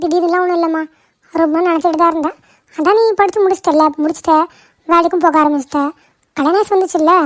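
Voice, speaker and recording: This cartoonish character voice sounds female and sits at an extremely high pitch. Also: moderate pace. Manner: bossy, commanding.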